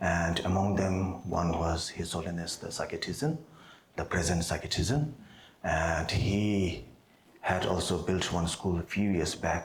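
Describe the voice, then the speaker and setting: A man with a Tibetan accent speaks fairly slowly. His voice is very deep and low, with audible room echo. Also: ordinary pitch variation. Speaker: Buddhist monk teacher. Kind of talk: dharma teaching. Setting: monastery seminar with audience. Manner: hesitant, many fillers.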